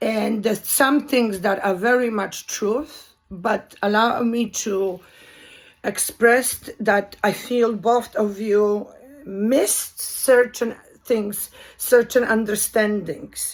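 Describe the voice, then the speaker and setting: At a very slow pace, a woman speaks in a Polish accent. Her pitch is fairly high, and her intonation stays fairly even. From Poland. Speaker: video commentator. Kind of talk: monologue commentary. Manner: halting.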